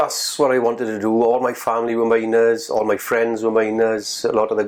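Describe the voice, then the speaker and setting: A man with a South Wales accent talks at a fairly quick pace, his pitch medium and his intonation flat and monotone. Noticeable background noise runs under his voice. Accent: South Wales Welsh English. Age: 50s. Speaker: former coal miner. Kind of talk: oral history interview. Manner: halting.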